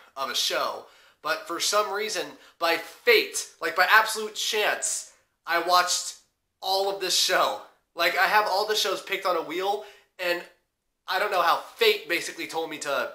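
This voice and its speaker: A man speaks in a raised, projected voice with a bright, sharp tone and ordinary pitch variation, at a moderate pace with long, frequent pauses. Audible room echo surrounds him against a quiet background. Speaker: anime reviewer. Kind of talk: casual vlog chat. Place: home room.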